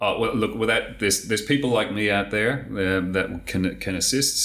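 With an Australian accent, a man talks at a moderate pace with ordinary pitch variation. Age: 50s. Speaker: tax software consultant. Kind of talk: interview.

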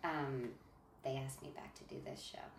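Noticeable background noise under a woman with an American accent. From northeastern New Jersey. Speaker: theater maker. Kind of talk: casual chat.

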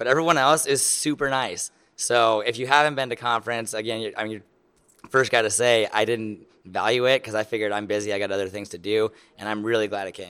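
A man with an American accent, medium pitch, a bright, sharp tone and a very fast pace. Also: fairly even intonation. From Lincoln, Nebraska. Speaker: lawn care business owner. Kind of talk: interview.

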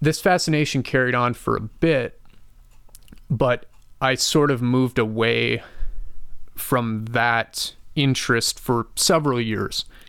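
A man talks at a fairly slow pace with an American accent. His pitch sits in the medium range. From US Midwest, western Wisconsin. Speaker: testimony guest. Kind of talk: personal testimony interview. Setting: studio.

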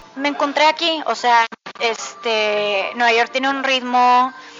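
A woman speaks at a very slow pace with ordinary pitch variation. Noticeable background noise sits behind her. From Mexico. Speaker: actress and voice actor. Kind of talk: interview. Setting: bakery café.

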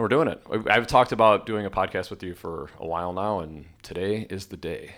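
His loudness swings widely as this man talks at a fairly quick pace with ordinary pitch variation, on a very clean recording with a silent background. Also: fairly low pitch for a man. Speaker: podcast host and hair stylist. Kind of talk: casual interview chat. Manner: animated, enthusiastic.

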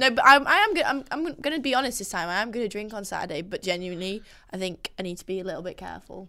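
With a northern English accent, a woman talks at a very fast pace in a bright, sharp tone, her pitch swinging very widely. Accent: mild northern English. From Yorkshire, northern England. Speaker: podcast host. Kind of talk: casual banter chat. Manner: jokey, animated.

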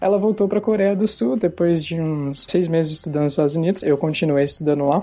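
A man speaks at a very fast pace with a high pitch and hardly any pauses. Noticeable background noise runs behind him. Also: ordinary pitch variation, very even loudness. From Brazil, interior of São Paulo state (Sorocaba). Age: 20s. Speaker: software developer. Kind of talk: interview.

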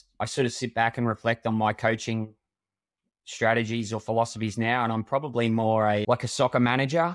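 On a very clean recording with a silent background, a man with an Australian accent speaks at a fairly quick pace in a monotone, flat delivery at medium pitch. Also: dry, close sound with no echo. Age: 40s. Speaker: triathlon coach. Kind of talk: casual interview.

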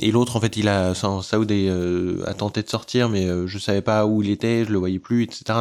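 In a very clean recording with a silent background, a man uses a normal speaking voice at a fairly low pitch with fairly even intonation. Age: 30s. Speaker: terror attack survivor, author. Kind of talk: testimony.

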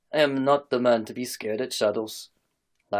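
Plain reading aloud sits over a quiet background.

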